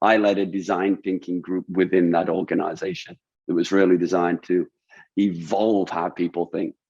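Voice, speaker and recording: Very deep and low in pitch, a man with a British accent talks at a fairly quick pace in monotone, flat intonation. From UK. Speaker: design thinking consultant. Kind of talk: webinar talk. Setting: webinar. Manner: hesitant, repeats words.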